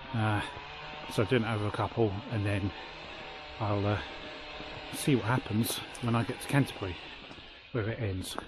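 At a moderate pace, a man talks at a fairly low pitch with fairly even intonation, in a dry sound with no echo and noticeable background noise. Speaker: hiker vlogger. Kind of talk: casual vlog chat. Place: beach. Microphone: phone near.

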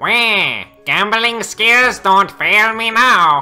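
A man performs a put-on character voice in a high pitch, raised and projected. He goes very slowly, with faint music in the background. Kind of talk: in-character gaming commentary. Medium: role play. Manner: exaggerated, whiny, cackling.

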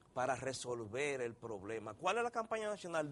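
A man speaks at a medium pitch with very wide pitch swings. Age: 50s. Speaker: doctor, endocrinologist; guest. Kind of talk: TV interview. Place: studio. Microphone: lapel.

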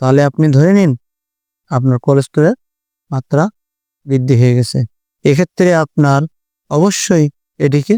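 A man's fairly high voice, dark and mellow in tone, with a dry, close sound and no echo. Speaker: homeopathic doctor. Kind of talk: health tutorial.

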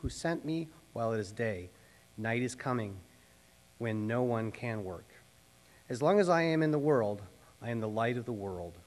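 A man talks at a moderate pace, with long, frequent pauses. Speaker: pastor. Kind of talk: scripture reading. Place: church. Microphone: podium.

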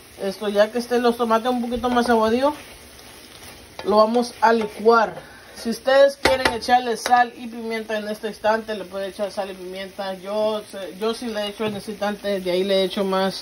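A woman speaks at a moderate pace with fairly even intonation. Light background noise sits behind her. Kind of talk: cooking tutorial. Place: kitchen. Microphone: phone near.

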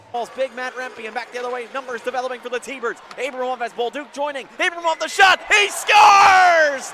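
Talking at a fairly quick pace with hardly any pauses, the voice sounds dry with no echo against loud background noise. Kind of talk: live commentary. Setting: hockey arena broadcast. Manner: rising, emphatic calls on goals. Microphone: headset.

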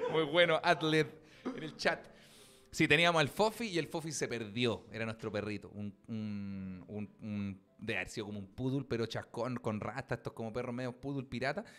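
An animated tone and lively intonation at a moderate pace, in a Chilean accent. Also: man, medium pitch for a man. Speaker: comedian; podcast host. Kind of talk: casual chat. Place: studio. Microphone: studio mic.

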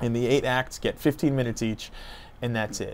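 A man talks fairly quickly, and his intonation stays fairly even. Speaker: family travel vlogger. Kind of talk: casual vlog chat. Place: street. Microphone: lapel.

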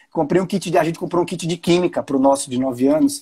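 Nothing can be heard behind the voice on this very clean recording. The words come out at a very fast clip. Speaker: live stream host. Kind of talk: casual live stream talk.

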